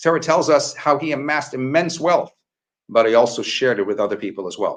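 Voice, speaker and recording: A man with a normal speaking voice talks fairly quickly at a fairly high pitch. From Canada. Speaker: rabbi. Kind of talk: Torah teaching in a dialogue.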